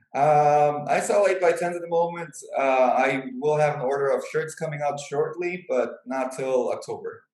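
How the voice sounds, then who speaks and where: A man with an American accent has an unremarkable speaking voice and a fairly high pitch. He talks at a moderate pace with hardly any pauses and ordinary pitch variation. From Chicago. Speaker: professional wrestler. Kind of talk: interview.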